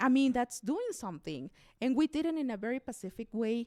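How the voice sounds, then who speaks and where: A woman speaks at a fairly quick pace in a Mexican accent, her tone dark and mellow. The recording is very clean with a silent background, dry and close with no echo. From Mexico, Chihuahua. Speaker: radio host and immigration activist. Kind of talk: interview conversation. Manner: halting.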